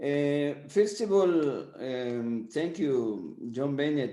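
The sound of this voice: Amid audible room echo, a man speaks slowly in a dark, mellow tone.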